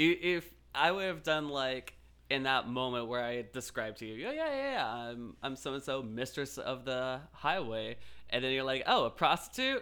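A normal speaking voice with an American accent goes at a moderate pace with ordinary pitch variation. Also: man, medium pitch for a man. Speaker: podcast host. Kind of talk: casual interview chat.

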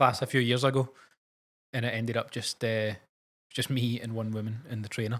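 A man with a Glasgow accent speaks in a monotone, flat intonation with long, frequent pauses, on a very clean recording with a silent background. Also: medium pitch for a man, fairly quick pace. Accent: Scottish (Glasgow area). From Scotland, Cumbernauld. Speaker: podcast co-host. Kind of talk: casual chat.

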